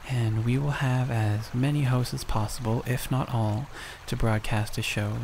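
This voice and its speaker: Soft-spoken and monotone, a man talks at medium pitch and a moderate pace through noticeable background noise. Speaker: ASMR creator. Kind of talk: soft-spoken announcement.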